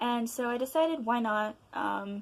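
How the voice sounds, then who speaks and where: A woman speaks quietly in a high voice with lively intonation. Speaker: vlogger. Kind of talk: casual chat. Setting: home at night. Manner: loud and excited.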